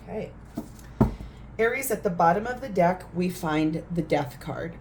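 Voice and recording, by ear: A woman speaks at a fairly slow pace with a fairly low pitch. Her tone is slightly mellow and her intonation lively.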